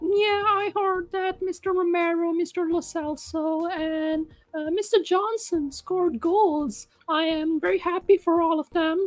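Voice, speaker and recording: A man does a put-on character voice in falsetto at an extremely high pitch. He keeps a moderate pace. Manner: falsetto, man putting on a woman's voice.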